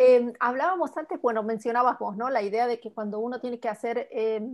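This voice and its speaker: The recording is very clean, with a silent background. The speaker has an Argentine accent and a moderate pace. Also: woman. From Argentina. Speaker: writer and book club moderator. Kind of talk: book club conversation.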